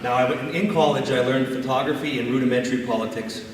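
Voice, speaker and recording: Over noticeable background noise and audible room echo, a man talks at a very fast pace in a medium pitch. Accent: Canadian. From Northern Ontario, Canada. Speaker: municipal election candidate. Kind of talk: prepared campaign speech. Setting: candidates debate before an audience.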